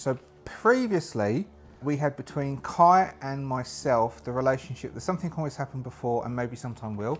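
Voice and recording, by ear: Here a man talks at a moderate pace. His pitch is medium, with ordinary variation.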